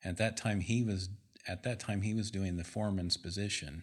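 A man's fairly low-pitched, unremarkable speaking voice with an American accent, fairly even intonation and a moderate pace, in a very clean recording with a silent background. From US Midwest, Indiana. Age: 50s. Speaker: sales and engineering manager. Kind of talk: casual interview. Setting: studio, in person.

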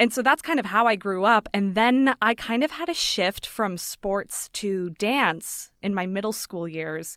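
Using an ordinary speaking voice, a woman with an American accent speaks at a fairly slow pace with hardly any pauses, a medium pitch and lively intonation. The recording is very clean with a silent background, and the sound is dry and close with no echo. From Las Vegas, Nevada, US. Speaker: actor and podcaster. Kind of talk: interview. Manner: laughs often.

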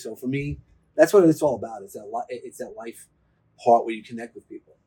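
A man with a New York accent speaks in a dark, mellow tone. His pitch varies in an ordinary way. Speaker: personal growth speaker. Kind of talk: interview, casual chat.

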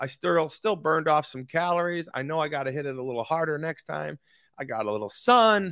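Fairly quick, animated delivery in a bright, sharp tone with lively intonation. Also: man, fairly high pitch for a man. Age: 50s. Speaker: motivational podcast host and author. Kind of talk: motivational talk.

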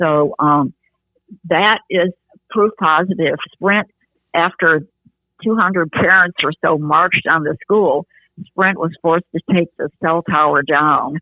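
A woman with a Midwestern US accent speaks at a very slow pace with long, frequent pauses, using a fairly low pitch and ordinary pitch variation. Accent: US Midwest. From Michigan, Detroit area. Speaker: activist. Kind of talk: interview. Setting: phone call. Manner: halting.

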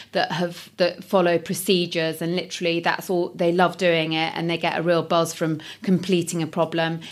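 With an East Midlands accent, a woman speaks at a fairly low pitch and moderate pace in a monotone, flat intonation, with hardly any pauses. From Nottingham, England. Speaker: recruitment business owner. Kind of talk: interview.

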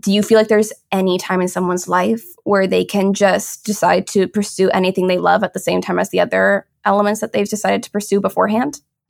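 Recorded with a dry, close sound and no echo, a woman at a medium pitch speaks at a very fast pace with vocal fry. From Toronto, Canada. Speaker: podcast host and graphic designer. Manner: warm, enthusiastic.

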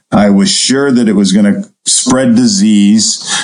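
Audible room echo surrounds a man speaking at a fairly slow pace in an American accent. His pitch sits in the medium range, and his intonation is lively. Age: 60s. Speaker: turfgrass researcher, professor. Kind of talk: interview.

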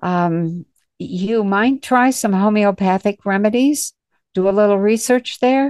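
A woman with an unremarkable speaking voice talks at a fairly slow pace. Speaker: psychic reader hosting call-in session. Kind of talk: live call-in readings. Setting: video call. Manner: frequent laughter.

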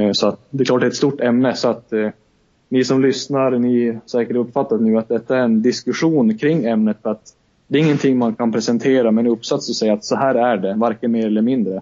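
Keeping his loudness very even, a man at medium pitch talks fairly quickly with fairly even intonation. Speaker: podcast co-host; student. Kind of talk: casual discussion. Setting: Skype call.

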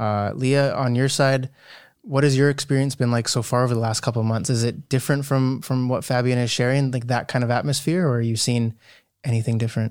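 A man with an unremarkable speaking voice talks at a fairly quick pace and medium pitch. His loudness stays very even and his intonation fairly even, on a very clean recording with a silent background. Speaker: podcast host. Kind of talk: casual interview chat.

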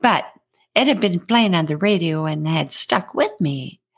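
In a very clean recording with a silent background, a woman talks at a moderate pace. Her pitch is fairly low and her intonation lively. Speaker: podcaster. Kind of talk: scripted storytelling monologue. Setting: home studio podcast. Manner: animated, humorous.

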